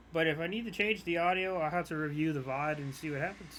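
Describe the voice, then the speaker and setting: In a room with audible echo, a man talks at a very fast pace and a fairly high pitch. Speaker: gamer streamer. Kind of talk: gameplay commentary. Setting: live stream. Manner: soft-spoken.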